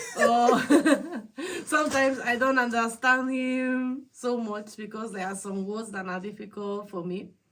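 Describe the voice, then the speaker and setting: With a Spanish accent, a woman speaks very slowly with fairly even intonation. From Spain. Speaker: host's wife. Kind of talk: casual chat.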